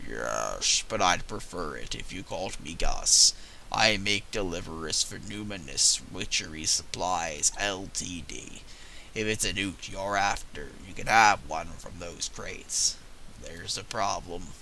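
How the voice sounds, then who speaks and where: Over clear background noise, a man with a fairly low pitch uses a put-on character voice at a fairly slow pace. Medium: game stream. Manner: nervous, apologetic.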